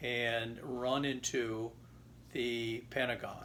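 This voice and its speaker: Vocal fry runs through this man's medium-pitched voice. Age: 70s. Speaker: grandfather interviewed for school project. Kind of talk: interview testimony.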